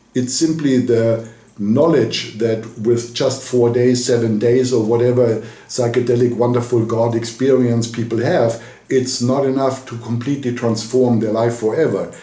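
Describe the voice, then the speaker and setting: A man speaks with a German accent in a dark, mellow tone that is somewhat breathy. His intonation is monotone and flat, and audible room echo surrounds him. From Germany. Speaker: spiritual coach. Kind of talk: direct-to-camera message.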